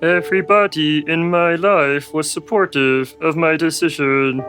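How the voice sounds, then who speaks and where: A man puts on a character voice with a fairly high pitch at a moderate pace. Music plays clearly in the background. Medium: comedy sketch.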